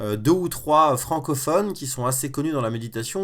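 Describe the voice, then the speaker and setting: The speaker is male. The recording is very clean, and the background is silent. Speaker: web entrepreneur and online course creator. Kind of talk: live-stream tutorial. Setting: live stream from a bedroom. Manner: fast; informal, with many fillers.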